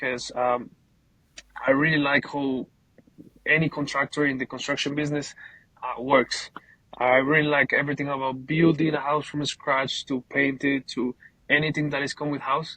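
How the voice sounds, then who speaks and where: A man with a Colombian accent, a fairly high pitch, a bright, sharp tone and monotone, flat intonation, at a moderate pace with long, frequent pauses. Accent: Colombian Spanish accent, noticeable. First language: Spanish. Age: 20s. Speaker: painting business owner. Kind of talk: casual interview. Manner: halting, repeats words.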